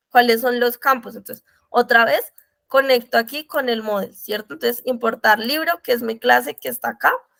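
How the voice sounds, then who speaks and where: A woman talks at a moderate pace with a fairly high pitch. The sound is dry and close, with no echo. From Colombia. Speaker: programming mentor. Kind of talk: tutorial.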